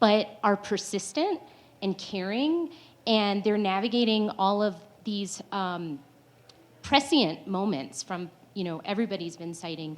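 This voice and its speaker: This woman has an ordinary speaking voice, pitched in the medium range. She talks at a fairly slow pace with lively intonation. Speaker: panelist. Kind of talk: panel discussion.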